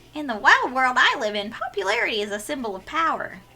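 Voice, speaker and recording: This put-on character voice races along at a very fast pace. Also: female-sounding voice, high pitch for a woman. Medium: game stream. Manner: theatrical, playful.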